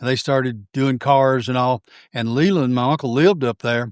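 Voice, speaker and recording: In a Southern US accent, a man talks at a fairly quick pace and medium pitch, with a dry, close sound with no echo on a very clean recording with a silent background. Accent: Southern US (Georgia). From US South, Georgia (Forsyth County). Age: 70s. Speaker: retired teacher, coach and collector. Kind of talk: casual interview chat. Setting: home baseball museum.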